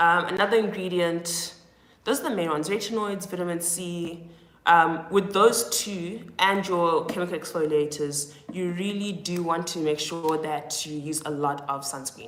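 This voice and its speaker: Through noticeable background noise and audible room echo, a woman with a fairly low pitch speaks at a moderate pace with ordinary pitch variation. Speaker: skincare influencer. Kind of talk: live stream Q&A.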